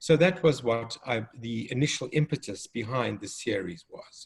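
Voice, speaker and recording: With a South African accent, a man talks at medium pitch in a somewhat breathy voice with ordinary pitch variation. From South Africa, Cape Town. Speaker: developmental pediatrician and children's author. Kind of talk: educational conversation.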